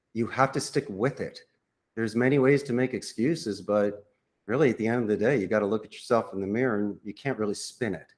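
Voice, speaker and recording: A man with a Philadelphia accent, very fast pace, medium pitch and ordinary pitch variation. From Philadelphia, US. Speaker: call center CEO. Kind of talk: podcast interview.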